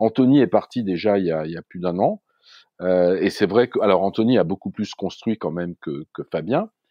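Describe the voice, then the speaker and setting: A man's plain, everyday voice, fairly low in pitch, at a moderate pace. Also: ordinary pitch variation. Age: 60s. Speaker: startup founder. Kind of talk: casual interview.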